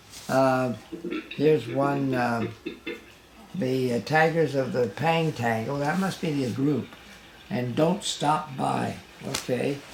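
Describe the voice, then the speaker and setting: Amid noticeable background noise, a man at a medium pitch with ordinary pitch variation speaks very slowly, leaving long, frequent pauses. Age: 80s+. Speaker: father of a late rock musician. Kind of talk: casual talk to camera. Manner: hesitant, halting; humorous.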